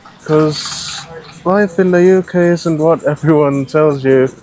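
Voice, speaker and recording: Over music in the background, a man with a British accent speaks at a fairly high pitch with fairly even intonation. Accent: non-Kenyan accent, sounds British. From Scotland. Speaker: ride-hailing driver. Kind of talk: casual interview. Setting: outdoors by a car in the rain.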